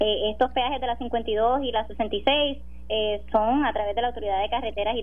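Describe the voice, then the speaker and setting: Her voice is a plain, everyday voice, a woman's at a fairly high pitch with ordinary pitch variation. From Puerto Rico, Sabana Grande. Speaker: government official. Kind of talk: radio interview.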